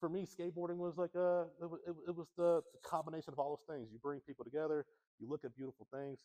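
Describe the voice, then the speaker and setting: Speaking very fast with an American accent, a man with a fairly high pitch and a dark, mellow tone shows big swings in loudness and ordinary pitch variation in a dry, close sound with no echo. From US Midwest, Kansas City area. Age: 40s. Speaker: visual artist. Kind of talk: artist talk interview. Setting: gallery with audience. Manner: halting, many restarts.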